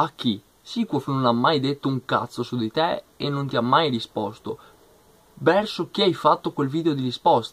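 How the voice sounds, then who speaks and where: His pitch sits fairly high, with ordinary variation, as the man talks at a moderate pace. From Italy. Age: 20s. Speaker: youtuber, football fan commentator. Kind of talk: vlog rant. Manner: animated. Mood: annoyed, confrontational. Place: home room. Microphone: webcam.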